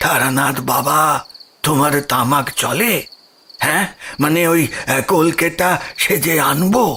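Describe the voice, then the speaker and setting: A man uses a put-on character voice at a fairly high pitch with ordinary pitch variation. He goes at a very slow pace with very even loudness. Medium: audio drama. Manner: hesitant, halting, repeats words.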